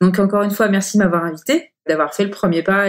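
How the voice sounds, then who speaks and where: A woman talks at a very fast pace in a medium pitch. Her intonation is fairly even, and the recording is very clean with a silent background. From Paris area, France. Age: 40s. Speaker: company director. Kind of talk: interview. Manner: hesitant, many fillers.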